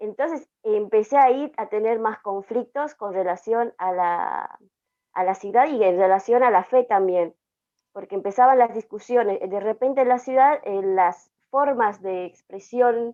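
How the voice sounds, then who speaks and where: This woman's pitch is fairly high and varies in an ordinary way. She talks at a fairly slow pace. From Aymara highland communities, Andes. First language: Aymara (speaking Spanish). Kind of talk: panel discussion, personal testimony. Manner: hesitant, many fillers.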